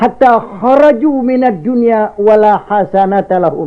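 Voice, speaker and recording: A man speaks with a Jakarta accent. His pitch is extremely high. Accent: Betawi. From Jakarta, Indonesia. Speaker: Islamic cleric, preacher. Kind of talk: religious sermon. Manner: calm, soothing.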